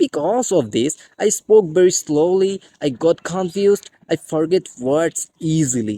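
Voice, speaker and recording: The speaker has a Bengali accent. The pace is fairly slow. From Bangladesh. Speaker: English teacher. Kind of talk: tutorial.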